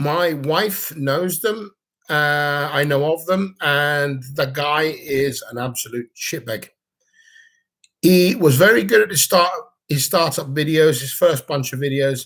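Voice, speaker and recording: A man with a fairly high pitch talks at a very slow pace, his pitch varying in an ordinary way. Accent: British. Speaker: vlogger. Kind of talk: livestream chat. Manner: mumbling.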